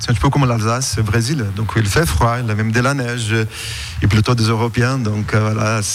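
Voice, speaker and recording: Amid noticeable background noise and audible room echo, a man talks at a fairly quick pace. His pitch is medium, his intonation fairly even and his loudness very even. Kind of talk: radio interview.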